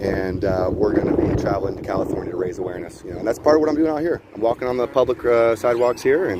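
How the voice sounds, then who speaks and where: With an American accent, a man talks at a very fast pace. His intonation is lively, and there is noticeable background noise. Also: medium pitch for a man. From Ohio, US. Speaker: livestreamer, convoy documentarian. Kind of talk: casual street chat. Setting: outdoors on street. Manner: animated.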